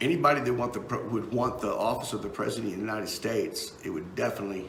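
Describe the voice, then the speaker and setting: With an American accent, a man at medium pitch speaks very fast with ordinary pitch variation, amid noticeable background noise and audible room echo. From Texas. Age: 50s. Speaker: political talk show host and musician. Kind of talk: casual live-stream commentary. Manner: halting, many fillers and repeats.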